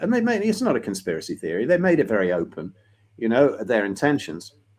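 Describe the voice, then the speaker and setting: Against a quiet background, a man with a medium-pitched voice shows vocal fry and very wide pitch swings. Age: 60s. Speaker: health and lifestyle consultant. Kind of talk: podcast interview.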